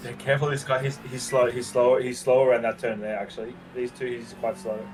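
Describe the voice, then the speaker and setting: Fairly quick speech with fairly even intonation, music in the background. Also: man, medium pitch for a man. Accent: Australian. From Australia. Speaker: sim racing driver and streamer. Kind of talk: casual chat.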